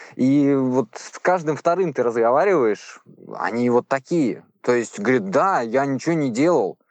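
At a moderate pace, a man talks in an ordinary speaking voice with ordinary pitch variation. The background is quiet. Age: 30s. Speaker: former prisoner. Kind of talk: testimony. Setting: phone call; outdoors.

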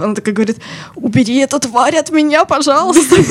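A woman talks at a very fast pace with ordinary pitch variation. There is noticeable background noise. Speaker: media company special projects manager. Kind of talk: casual chat, personal stories. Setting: studio.

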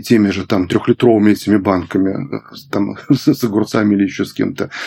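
A man speaks fairly quickly in a fairly low pitch with a dark, mellow tone. His pitch varies in an ordinary way. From Belarus. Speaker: gerontologist, medical professor. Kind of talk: interview, expert conversation.

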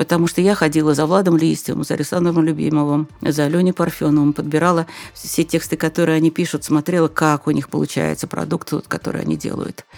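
Over noticeable background noise, a woman talks at a very fast pace in a very deep, low pitch with monotone, flat intonation, the sound dry and close with no echo. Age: old. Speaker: journalist and business trainer. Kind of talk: interview.

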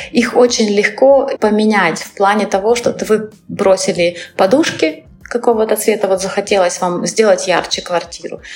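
With noticeable background noise behind her, a woman talks at a moderate pace. Her pitch is medium, with ordinary variation. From Crimea, Kerch. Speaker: interior designer, studio founder. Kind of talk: interview.

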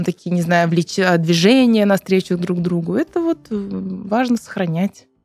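A woman with a plain, everyday voice speaks at a fairly slow pace with a fairly low pitch and fairly even intonation, the sound dry and close with no echo. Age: 30s. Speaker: podcast co-host, psychotherapist. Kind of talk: casual chat.

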